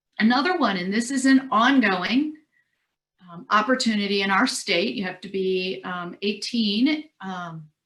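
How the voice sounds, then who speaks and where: A woman speaks with lively intonation. Her loudness swings a lot. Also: medium pitch for a woman. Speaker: career services presenter. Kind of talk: webinar presentation. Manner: fast.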